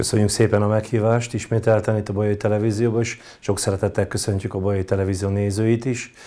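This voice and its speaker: A man talks at a very fast pace with hardly any pauses, his fairly low voice dark and mellow in tone and flat and monotone in intonation. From Hungary, Baja. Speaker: muay thai coach. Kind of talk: interview. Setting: studio. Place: studio. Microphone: lapel.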